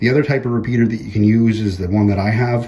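A man at a fast pace, with fairly low pitch, a dark, mellow tone, a slightly husky edge and fairly even intonation.

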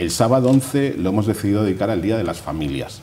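The speech moves at a fairly quick pace with lively intonation. Light background noise is present. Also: man. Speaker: neighborhood association president. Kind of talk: TV interview. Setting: studio. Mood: upbeat, enthusiastic. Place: studio.

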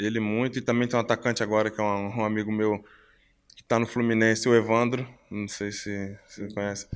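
Speaking at a fairly quick pace, a man keeps a fairly low pitch in a monotone, flat intonation. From Brazil, São Paulo (moved from Belo Horizonte at 12). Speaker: professional footballer; interviewee. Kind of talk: interview. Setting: hotel. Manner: halting, repeats words. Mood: relaxed, friendly. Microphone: handheld.

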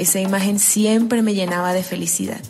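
A woman speaks at a moderate pace in a medium pitch, with music playing in the background. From Colombia, Bolívar (Cicuco). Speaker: writer. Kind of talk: personal memoir reading.

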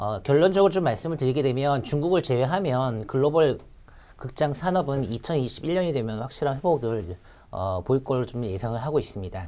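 A man's dark, mellow tone at a moderate pace. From South Korea. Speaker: securities analyst. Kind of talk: market research briefing. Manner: frequent filler hesitations.

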